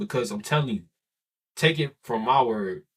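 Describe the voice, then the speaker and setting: An animated, somewhat breathy male voice at a moderate pace. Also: very clean recording, silent background. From Chicago, US. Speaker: YouTuber / vlogger. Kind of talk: casual vent / motivational monologue. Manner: animated, repetitive.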